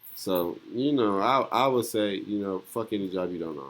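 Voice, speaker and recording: A man speaks at a fairly low pitch. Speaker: podcast host. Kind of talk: casual chat. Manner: repeats words, stumbles; animated.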